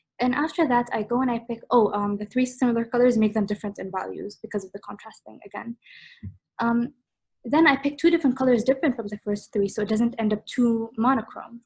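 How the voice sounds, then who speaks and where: At a very fast pace, a woman with a fairly high pitch and ordinary pitch variation talks in big swings of loudness. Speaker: art workshop instructor. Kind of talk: online workshop tutorial. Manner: casual, hesitant with fillers.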